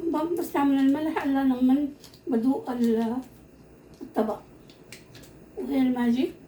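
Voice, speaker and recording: Speaking at a very slow pace, a woman uses a high voice and leaves long, frequent pauses. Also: ordinary pitch variation. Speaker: home cooking video host. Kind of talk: cooking tutorial. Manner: halting, repeats words.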